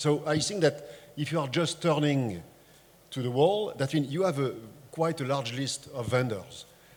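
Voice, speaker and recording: In a French accent, a man speaks at a moderate pace with a fairly high pitch and ordinary pitch variation. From France. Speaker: tech industry panelist. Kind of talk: panel discussion.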